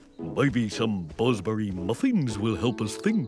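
In a cartoonish character voice, a man at a medium pitch speaks at a fairly slow pace over clear music in the background. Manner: hesitant, slow.

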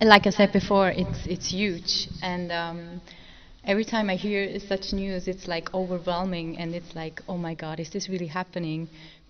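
Over light background noise, a woman talks at a moderate pace and medium pitch, her intonation monotone and flat while her loudness swings widely. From Switzerland. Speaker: wheelchair racer. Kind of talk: press conference answers. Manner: halting, many fillers. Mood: emotional, grateful. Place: hall. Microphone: podium.

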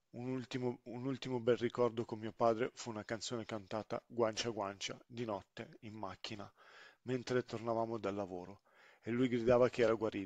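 Medium-pitched male voice in a monotone, flat intonation, dry and close with no echo, over a quiet background. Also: moderate pace. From Sicily, then grew up in northern Italy. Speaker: storyteller, father. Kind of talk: personal testimony narration.

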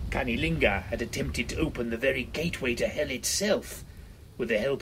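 The speaker uses a natural reading voice. Nothing more is measured here.

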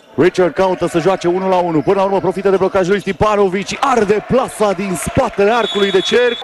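A man at a high pitch with ordinary pitch variation, fairly quick with hardly any pauses, his loudness very even over noticeable background noise. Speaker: basketball commentator. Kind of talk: live sports commentary, basketball highlights voiceover. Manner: colorful, punchy wordplay and slang.

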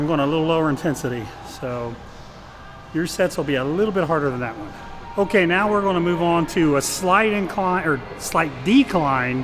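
A man talks at a fairly quick pace. Music plays clearly behind him. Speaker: fitness coach. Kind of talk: casual vlog chat. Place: gym.

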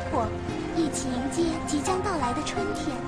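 Over loud background music, a woman speaks at a moderate pace, the sound dry with no echo. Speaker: voice actor. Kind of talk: story narration. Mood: gentle wistful storytelling. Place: booth. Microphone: studio mic.

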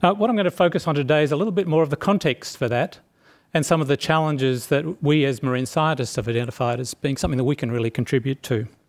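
With an Australian accent, a man talks at a very fast pace over a quiet background. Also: ordinary pitch variation. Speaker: marine scientist; panelist. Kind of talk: short talk. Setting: stage with audience. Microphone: podium.

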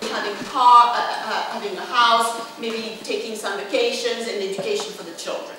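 Amid noticeable background noise and strong room echo, a woman speaks at a moderate pace with a fairly high pitch and fairly even intonation. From France, working-class regional background. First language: French. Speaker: professor. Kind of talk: lecture. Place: hall.

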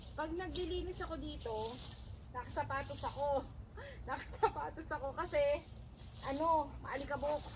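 A woman with long, frequent pauses, amid audible room echo and noticeable background noise. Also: moderate pace. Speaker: vlogger. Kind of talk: casual vlog.

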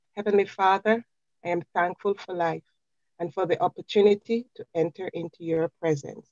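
A woman's ordinary speaking voice at medium pitch and a moderate pace, with fairly even intonation and big swings in loudness. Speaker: prayer leader. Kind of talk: prayer.

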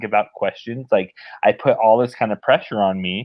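Over a quiet background, a man with an American accent talks at a fairly quick pace, medium in pitch and flat in intonation. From Northern Nevada, US. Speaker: web developer; podcast guest. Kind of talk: casual chat. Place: home room. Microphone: webcam.

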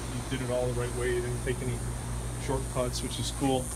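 Loud background noise sits behind this voice. A man speaks at a fairly quick pace. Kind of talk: walking property tour commentary. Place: garden. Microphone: phone near.

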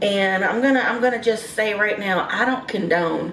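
A woman speaks at a fairly slow pace, with audible room echo and light background noise. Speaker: vlogger. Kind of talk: casual vlog chat. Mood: frustrated, defensive. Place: home room. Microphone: phone near.

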